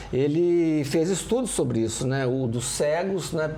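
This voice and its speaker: A man talks in a space with audible room echo, noticeable background noise also present. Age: 60s. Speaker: painter and retired professor. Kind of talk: interview conversation. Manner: halting, repeats words.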